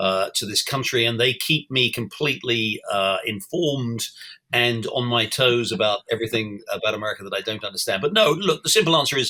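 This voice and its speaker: A man with a British accent speaks fairly quickly at a medium pitch, his tone bright and sharp and his pitch variation ordinary. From England. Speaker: newspaper editor and columnist. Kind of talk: interview. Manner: halting, many fillers and restarts.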